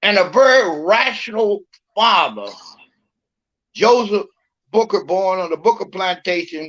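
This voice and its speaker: A man speaks at a fairly slow pace in a high voice, with ordinary pitch variation and long, frequent pauses. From Virginia, Lynchburg. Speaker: imam. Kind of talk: interview.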